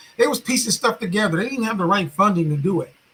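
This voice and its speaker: Ordinary pitch variation from a male speaker. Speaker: commentary channel host. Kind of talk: casual monologue commentary. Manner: animated.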